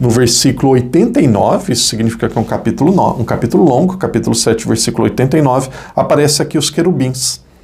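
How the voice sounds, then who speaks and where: Noticeable background noise surrounds the recording. The man's intonation is lively. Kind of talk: Bible study teaching.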